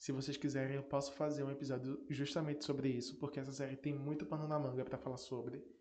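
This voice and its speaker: A man speaks at a very fast pace with hardly any pauses, in a fairly high pitch and a dark, mellow tone. His intonation is monotone and flat, and room echo is audible. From Northeast Brazil. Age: 20s. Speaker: podcast host. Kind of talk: casual solo podcast talk.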